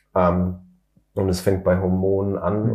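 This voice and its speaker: A man talks in a fairly low, somewhat breathy voice. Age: 30s. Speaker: mechanical engineer and company founder. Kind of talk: interview.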